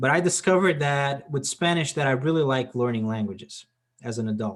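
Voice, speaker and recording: In a Portuguese accent, a man speaks at a fairly quick pace with ordinary pitch variation. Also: medium pitch for a man. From Portugal. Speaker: discussion club host. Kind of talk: casual chat.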